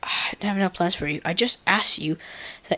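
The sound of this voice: The reading voice is unforced. Pitch moves with ordinary variation.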